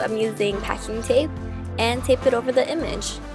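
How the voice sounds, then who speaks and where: A woman talks at a moderate tempo. Behind her, music can be heard. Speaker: DIY crafts YouTuber. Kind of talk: tutorial voice-over.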